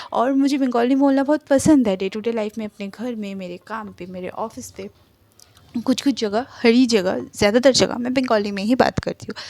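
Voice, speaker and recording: A woman with a Bengali accent talks at a moderate pace with a fairly high pitch, ordinary pitch variation, and big swings in loudness. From Kolkata, India. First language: Bengali (speaking Hindi). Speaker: fan fiction narrator YouTuber. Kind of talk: casual vlog talk to viewers.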